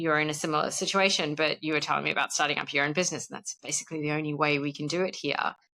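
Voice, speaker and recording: A woman with an Australian accent speaks at a very deep, low pitch with a bright, sharp tone and fairly even intonation. The recording is very clean with a silent background. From Australia (born in South Africa, moved at five). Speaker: podcast guest, expat spouse. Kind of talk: casual chat. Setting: podcast interview.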